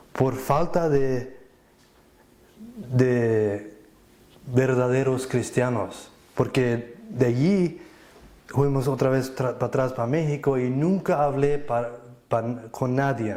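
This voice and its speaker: The speaker goes at a very slow pace, with long, frequent pauses. Pitch variation is ordinary. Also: man. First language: Plautdietsch (Low German) (speaking Spanish). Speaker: church member giving testimony. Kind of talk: testimony. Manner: halting, with false starts and repetitions.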